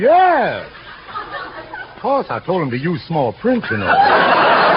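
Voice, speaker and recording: Speaking at a very slow pace, a man with an American accent is heard against noticeable background noise. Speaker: veteran singer and entertainer guest. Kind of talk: radio comedy routine with banter. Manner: boastful, comically mock-humble, lively storytelling.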